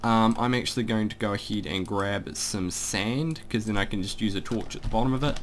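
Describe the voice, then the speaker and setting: A man with a New Zealand accent, medium-pitched, fairly quick, with ordinary pitch variation. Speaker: gaming YouTuber. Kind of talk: casual gameplay commentary. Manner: casual, rambling with fillers.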